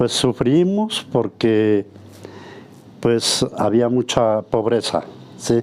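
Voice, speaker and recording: A man's voice at a medium pitch. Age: 60s. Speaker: woodworker. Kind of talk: interview testimony. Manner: halting, repetitive.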